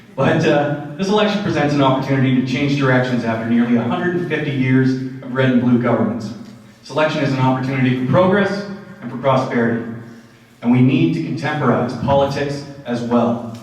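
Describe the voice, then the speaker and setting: A man with a Canadian accent speaks fairly quickly at a medium pitch with ordinary pitch variation, amid noticeable background noise and audible room echo. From southwestern Ontario, Canada. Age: 30s. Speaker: political candidate. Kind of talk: campaign speech at debate. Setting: community centre with audience.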